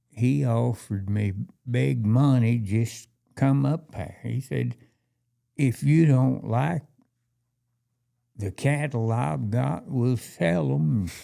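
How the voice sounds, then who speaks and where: Very slowly and with long, frequent pauses, a man with a fairly low pitch and a dark, mellow tone swings his pitch very widely, captured on a very clean recording with a silent background. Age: 80s+. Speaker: rancher. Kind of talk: casual chat.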